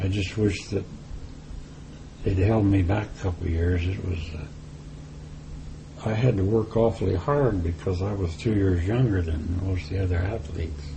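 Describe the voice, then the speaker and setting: A man with a Midwestern American accent, a very deep, low pitch, ordinary pitch variation and a moderate pace amid noticeable background noise. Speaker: former athlete. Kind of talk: interview answer.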